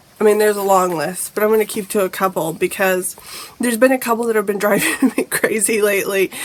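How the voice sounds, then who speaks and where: Ordinary pitch variation and a fairly quick pace, over noticeable background noise. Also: woman. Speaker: lifestyle vlogger. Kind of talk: casual vlog talk.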